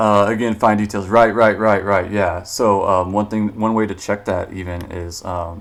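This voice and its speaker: In a Missouri accent, the speaker talks at a moderate pace in a monotone, flat intonation with hardly any pauses. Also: man, fairly low pitch for a man. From Missouri, US. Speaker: artist giving art critiques; artist streamer giving critique. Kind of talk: live stream critique. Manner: casual, halting with fillers. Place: home room.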